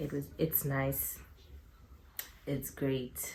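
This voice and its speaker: A woman speaks. Her pace is very slow. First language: not English. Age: 20s. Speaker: YouTuber. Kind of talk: casual vlog Q&A. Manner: animated.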